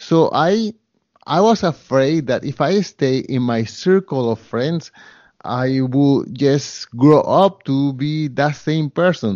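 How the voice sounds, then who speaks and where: Speaking very slowly with a Spanish accent, a man uses lively intonation at a fairly high pitch. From Colombia. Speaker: photographer, real estate investor and podcaster. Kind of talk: interview. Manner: halting.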